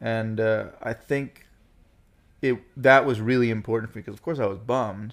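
A man with an unremarkable speaking voice talks at a moderate pace and medium pitch. His intonation stays fairly even while his loudness swings widely. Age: 30s. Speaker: actor. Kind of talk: casual chat.

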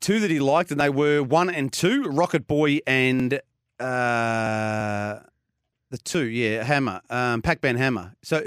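A man with an Australian accent, medium pitch and ordinary pitch variation at a fairly slow pace, in a very clean, dry, close recording with no echo and a silent background. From Australia, Geelong. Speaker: racing radio co-presenter. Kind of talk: casual chat.

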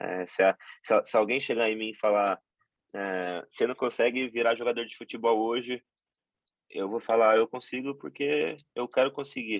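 The recording has a dry, close sound with no echo as a man talks at a moderate pace and medium pitch. His pitch varies in an ordinary way while his loudness swings widely. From Brazil, Tupã (São Paulo state). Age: 20s. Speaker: professional basketball player. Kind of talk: interview. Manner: halting, many repetitions and fillers.

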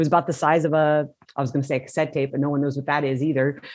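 Music plays in the background behind a woman. She speaks in an American accent with a very deep, low pitch. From California (Modesto). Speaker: rock music photographer. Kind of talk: interview.

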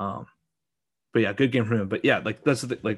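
A man with a Western Canadian accent. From Alberta, Canada. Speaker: sports podcast host. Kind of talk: casual chat.

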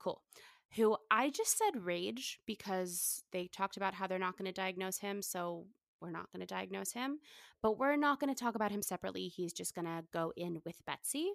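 A woman with an ordinary speaking voice talks at a moderate pace and medium pitch with lively intonation, in a very clean, dry, close recording with a silent background and no echo. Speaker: podcast host. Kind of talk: casual chat.

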